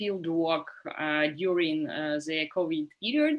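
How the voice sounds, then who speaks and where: A woman speaks with a Russian accent. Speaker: survey researcher. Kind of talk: conference panel talk. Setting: video call. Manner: halting, many fillers.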